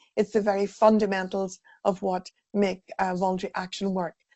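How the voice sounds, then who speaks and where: Speaking in an Irish accent, a woman keeps a moderate pace. Her medium-pitched voice is monotone and flat. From Ireland. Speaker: volunteering sector consultant. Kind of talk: webinar presentation.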